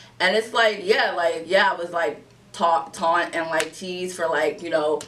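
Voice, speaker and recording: A woman's fairly low voice, with fairly even intonation, comes through noticeable background noise. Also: moderate pace. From US, East Orange, New Jersey. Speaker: podcast co-host. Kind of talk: casual chat.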